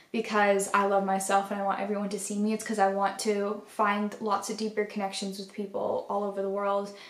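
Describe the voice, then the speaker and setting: With audible room echo, a woman talks at a fairly quick pace in a monotone, flat delivery with hardly any pauses. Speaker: art vlogger. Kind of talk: casual vlog chat. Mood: grateful, heartfelt. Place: home room.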